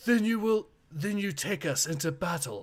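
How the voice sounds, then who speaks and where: Using a put-on character voice, a man speaks high-pitched with lively intonation. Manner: commanding.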